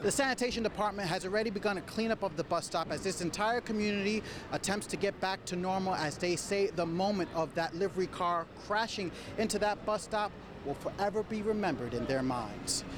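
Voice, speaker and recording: Speaking at a fairly quick pace, a man uses a high pitch with ordinary pitch variation and very even loudness. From New York City. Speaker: television news reporter. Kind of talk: TV news report. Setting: outdoors.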